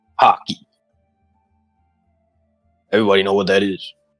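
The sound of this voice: A man puts on a gruff character voice at a fairly low pitch, talking at a fairly quick pace. The sound is dry and close with no echo, with music in the background.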